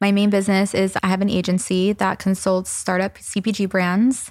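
A woman with an American accent speaks at a moderate pace and medium pitch, in a normal speaking voice. The very clean recording has a silent background and a dry, close sound with no echo. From US South. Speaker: entrepreneur. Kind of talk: casual chat. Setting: living room.

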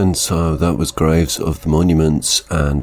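A man talks in a very deep, low voice. Noticeable background noise sits behind him. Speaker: radio music show host. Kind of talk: radio DJ links between songs. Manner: brief, minimal speech.

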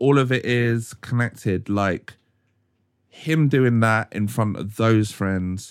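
Speaking at a fairly slow pace, a man talks with a London accent. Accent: London English (multicultural London). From South London, Croydon. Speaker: photographer and advertising creative. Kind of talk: casual chat. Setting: studio. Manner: animated.

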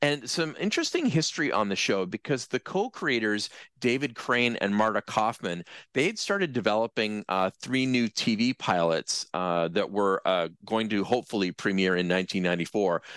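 An unremarkable speaking voice from a man, fairly low in pitch, with lively intonation, moderate pace and very even loudness, in a dry, close sound with no echo against a quiet background. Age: 50s. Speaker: TV commentator. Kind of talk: interview.

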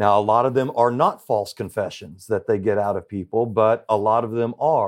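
With a Southern US accent, a man speaks at a medium pitch and a moderate pace. He uses ordinary pitch variation and hardly pauses. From Central Arkansas. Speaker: private investigator and wrongful conviction advocate. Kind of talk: interview.

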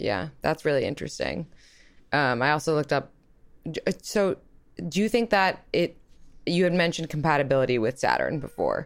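A woman's very deep, low voice with an American accent, fairly quick pace, lively intonation and long, frequent pauses, in a very clean recording with a silent background. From New York. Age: 20s. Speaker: relationship podcast host. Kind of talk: casual interview.

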